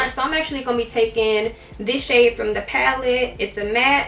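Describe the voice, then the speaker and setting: A woman talks at a fairly quick pace in a high pitch with ordinary pitch variation, over noticeable background noise. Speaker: beauty vlogger. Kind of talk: tutorial. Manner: casual.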